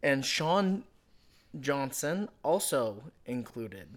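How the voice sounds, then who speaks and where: A fairly high-pitched man with an American accent on a very clean recording with a silent background. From United States. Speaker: football podcast co-host. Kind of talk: casual chat.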